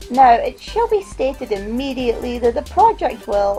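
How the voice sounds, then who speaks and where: A woman mumbles at a moderate pace in a high pitch. Music plays in the background. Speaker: art student. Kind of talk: scripted vlog narration. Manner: mumbling.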